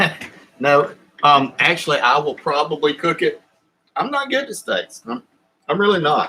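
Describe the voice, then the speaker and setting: A man with a Southern US accent speaks with long, frequent pauses. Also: moderate pace. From US South. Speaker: YouTuber. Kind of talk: live stream chat. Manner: halting.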